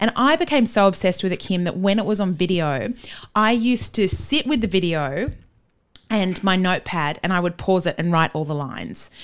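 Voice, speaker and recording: A woman talks at a fairly quick pace with lively intonation and a medium pitch. The recording is very clean, with a silent background. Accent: Australian. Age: 40s. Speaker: playwright and podcaster. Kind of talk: casual chat. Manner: animated.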